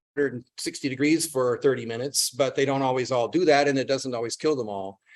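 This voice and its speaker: Talking at a very fast pace, a man speaks at a fairly high pitch with ordinary pitch variation. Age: 70s. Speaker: retired entomologist, invited speaker. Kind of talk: lecture. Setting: hybrid talk, in person and on video call. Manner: hesitant, with many fillers.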